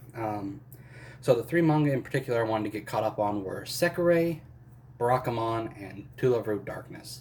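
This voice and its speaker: This man's voice is somewhat breathy. He keeps a moderate pace. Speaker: manga collector YouTuber. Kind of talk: casual haul video. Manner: hesitant, many fillers.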